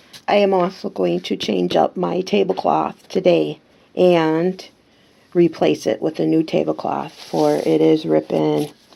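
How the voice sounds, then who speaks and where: With very wide pitch swings, a woman speaks in a dark, mellow tone at a very deep, low pitch. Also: fairly slow pace. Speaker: crafter. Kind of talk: craft tutorial narration.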